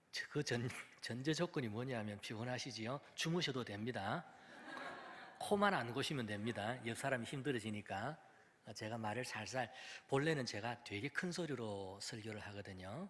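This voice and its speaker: A man speaks in a medium pitch, his intonation lively. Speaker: pastor. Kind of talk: sermon. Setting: church with PA system. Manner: deliberately lowered volume.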